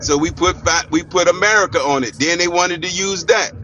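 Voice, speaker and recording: A man's high voice at a moderate pace, with ordinary pitch variation and noticeable background noise. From United States. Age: 60s. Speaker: panel debate guest. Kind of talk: heated debate.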